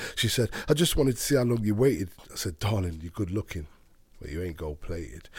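In an East Midlands accent, a man talks at a very fast pace with very wide pitch swings and a somewhat breathy sound. The recording is very clean, with a silent background. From Derby, England. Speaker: poet. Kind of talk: casual chat; poetry performance. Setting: studio.

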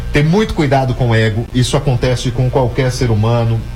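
Music in the background and audible room echo behind a man speaking. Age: 40s. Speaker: radio news host. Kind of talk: radio news show. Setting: radio studio.

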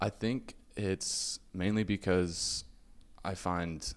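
A man speaks with an American accent. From Venezuela and Mexico (American family). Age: 20s. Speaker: college student, podcast guest. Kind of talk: casual interview. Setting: café.

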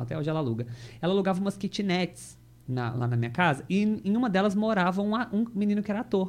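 A man speaks at a very fast pace. His pitch is high and his intonation lively. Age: 30s. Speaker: actor and theatre school owner. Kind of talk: casual chat.

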